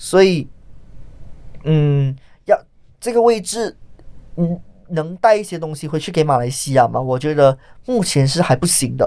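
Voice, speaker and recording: A man with a strong Malaysian accent speaks at a fairly slow pace, with long, frequent pauses and a dark, mellow tone at a fairly high pitch. His intonation is lively, and the recording is very clean with a silent background. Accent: strong Malaysian accent in Mandarin. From Malaysia, Johor. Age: 20s. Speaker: stand-up comedian. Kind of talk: interview.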